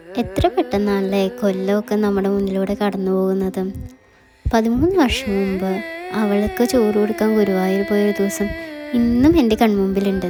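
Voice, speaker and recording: Music plays behind a woman's voice. Her pitch is medium and varies in an ordinary way. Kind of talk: personal vlog voice-over.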